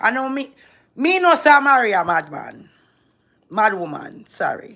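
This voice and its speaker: In a very clean recording with a silent background, a woman sounds animated, her high, bright, sharp voice raised and projected with very wide pitch swings. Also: moderate pace. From Jamaican-American, grew up partly in Jamaica. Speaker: social media personality. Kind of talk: livestream talk to viewers. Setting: live stream.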